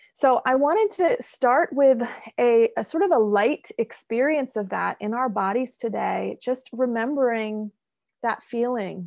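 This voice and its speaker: Over a quiet background, a woman speaks at a fairly slow pace. Her pitch is fairly high, with ordinary variation. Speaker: mindfulness guide. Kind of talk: guided meditation. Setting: video call. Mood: calm, soothing, slow. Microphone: video call.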